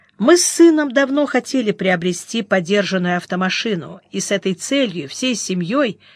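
The reading comes in a natural reading voice with lively intonation.

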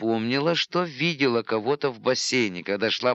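Plain reading aloud. The intonation is lively.

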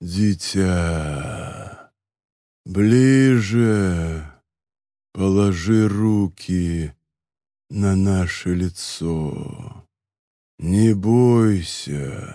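This man uses a put-on character voice, low in pitch with a dark, mellow tone. He talks at a very slow pace with long, frequent pauses, on a very clean recording with a silent background. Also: ordinary pitch variation.

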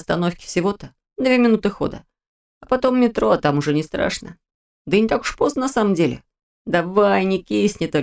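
Reading aloud in a natural voice, with lively intonation against a quiet background

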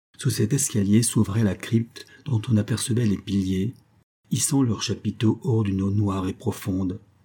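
A natural reading voice is heard with fairly even intonation.

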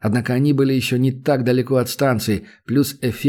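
Fairly level intonation in a natural reading voice.

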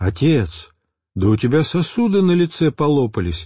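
A man's put-on character voice, fairly high in pitch with very wide pitch swings, at a moderate pace. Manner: frightened, alarmed.

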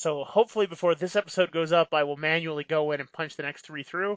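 With a plain, everyday voice, a man speaks fairly high in pitch and keeps his intonation fairly even. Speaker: podcast co-host. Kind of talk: casual chat.

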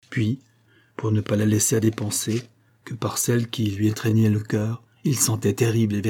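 Just a natural reading voice

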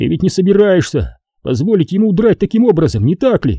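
A man shouts in a put-on character voice pitched high, with big pitch swings, a dark, mellow tone, a slightly husky edge and a fairly quick pace. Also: dry, close sound with no echo.

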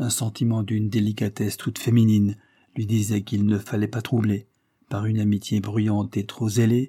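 With a quiet background behind it, the clip is someone reading aloud in a natural voice.

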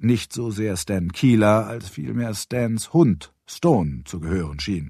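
On a very clean recording with a silent background, a man with a slightly mellow tone and a slightly husky edge speaks fairly slowly, with ordinary pitch variation.

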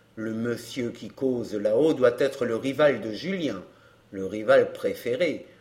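An unforced reading voice carries the whole clip.

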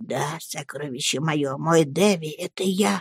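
Whispering quietly in a put-on character voice, a woman speaks at a fairly slow pace with a husky, rough edge and a dry, close sound with no echo.

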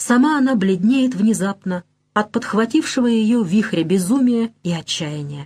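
The recording has a quiet background behind a natural reading voice.

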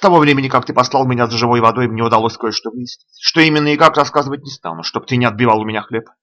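Ordinary pitch variation in a natural reading voice, quiet in the background

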